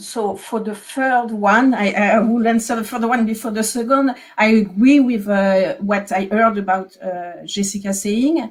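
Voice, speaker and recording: A woman speaks at a fairly slow pace with a French accent. Her pitch is fairly high and her intonation fairly even. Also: hardly any pauses. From France. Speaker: historian. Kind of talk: academic panel discussion. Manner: hesitant, many fillers.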